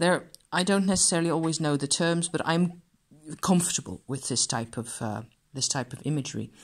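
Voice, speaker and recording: The background stays quiet. A woman does the talking. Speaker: card reviewer. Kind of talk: casual review chat. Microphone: phone near.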